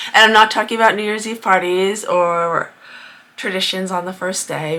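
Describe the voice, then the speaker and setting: With a Rhode Island accent, a woman speaks at a moderate pace and fairly low pitch, her intonation fairly even. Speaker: crafter vlogger. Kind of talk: casual vlog monologue. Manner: chatty, with many fillers.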